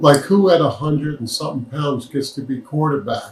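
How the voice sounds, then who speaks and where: This man's voice sits at a fairly high pitch and sounds somewhat breathy. His intonation stays fairly even. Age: 70s. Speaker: former healthcare executive. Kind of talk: interview.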